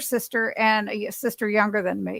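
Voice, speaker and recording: The speech moves at a moderate pace in a normal speaking voice. Very clean recording, with a silent background. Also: woman. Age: 60s. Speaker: keto dieter sharing weight loss story. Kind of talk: casual chat.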